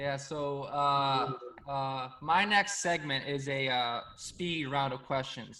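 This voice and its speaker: A man with a fairly high pitch, very slow pace and ordinary pitch variation. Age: 20s. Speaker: podcast host. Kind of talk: casual chat. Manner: halting.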